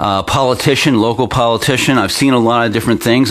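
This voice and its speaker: A man talks with an American accent. Background noise is noticeable. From Pennsylvania, US. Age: 50s. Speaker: local internet news host. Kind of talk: opinion commentary newscast. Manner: halting, many fillers.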